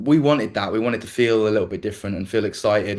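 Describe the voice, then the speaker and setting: Against a quiet background, a man talks at a very fast pace in a fairly low pitch with fairly even intonation. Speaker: lead singer of a band. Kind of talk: interview. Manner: halting, many fillers and restarts.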